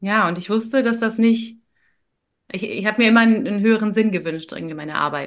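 A plain, everyday voice from a woman, fairly high in pitch, with ordinary pitch variation at a fairly quick pace over a quiet background. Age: 30s. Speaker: neuro-coach, former engineer. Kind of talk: interview conversation. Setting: video call.

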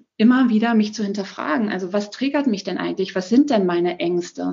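A woman talks at a fairly quick pace in a fairly high voice. Her delivery is somewhat breathy. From Germany, Berlin. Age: 40s. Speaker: single mother sharing her story. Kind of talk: casual interview. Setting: evening recording at home.

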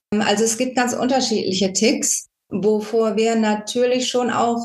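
A woman's somewhat breathy voice with monotone, flat intonation. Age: 50s. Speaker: parent of a child with Tourette syndrome, volunteer. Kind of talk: interview.

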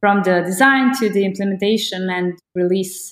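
With a Croatian accent, a woman talks at a moderate pace and a medium pitch. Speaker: agency managing director. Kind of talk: casual conversation.

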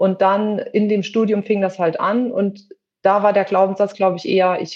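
Her voice is an unremarkable speaking voice, a woman with a medium pitch talking at a moderate pace. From western Germany. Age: 50s. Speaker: theatre costume maker. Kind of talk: interview.

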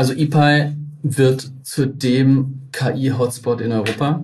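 A man speaks in a somewhat breathy voice. The room echo is audible. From Baden-Württemberg, Tübingen. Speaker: innovation network manager, head of an AI park. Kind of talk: interview.

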